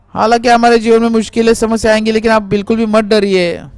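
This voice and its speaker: A man speaks in a high voice. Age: 80s. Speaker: pastor. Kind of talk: sermon. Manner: halting.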